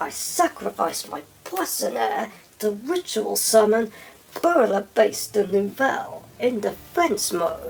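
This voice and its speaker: Fairly slow delivery in a put-on character voice pitched fairly high. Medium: machinima. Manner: breezy, playful.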